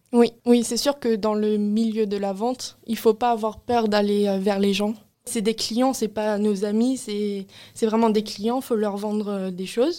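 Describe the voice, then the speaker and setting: Here a woman with a fairly high pitch and a dark, mellow tone talks at a very slow pace with hardly any pauses and fairly even intonation. The recording is very clean, with a silent background. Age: 20s. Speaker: work-study student. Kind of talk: interview.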